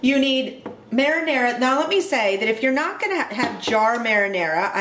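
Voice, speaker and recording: A woman speaks in a high voice with an animated tone and lively intonation. Noticeable background noise and audible room echo fill the recording. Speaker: home cooking video host. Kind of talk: cooking tutorial. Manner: fast.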